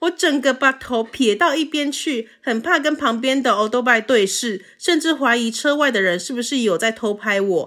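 With a Taiwanese accent, a woman speaks in a high pitch with a bright, sharp, animated tone and lively intonation. She leaves hardly any pauses, and the recording is very clean with a silent background. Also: moderate pace. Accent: Taiwanese Mandarin. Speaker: podcast co-host. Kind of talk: casual chat.

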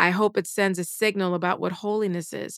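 A woman with an American accent speaks at a moderate pace and a medium pitch in an ordinary speaking voice. The recording is very clean with a silent background, and the sound is dry and close with no echo. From South Carolina, US South. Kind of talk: interview.

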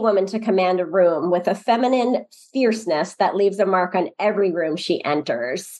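A woman talks at a medium pitch and a moderate pace with lively intonation. She has a plain, everyday voice. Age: 50s. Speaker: podcast host. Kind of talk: casual interview.

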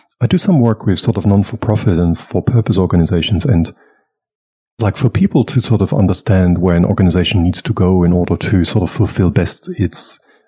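A man's somewhat breathy voice, fairly low in pitch with a dark, mellow tone, at a moderate pace, in a dry, close sound with no echo and a quiet background. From Germany. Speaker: facilitator and consultant. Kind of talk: casual interview. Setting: recording live in person in Melbourne.

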